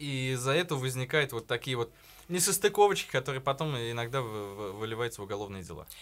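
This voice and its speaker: A man speaks in a plain, everyday voice at a medium pitch with lively intonation. His pace is fairly quick, on a very clean recording with a silent background. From provincial Russia. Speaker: podcast host. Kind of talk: casual chat. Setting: studio.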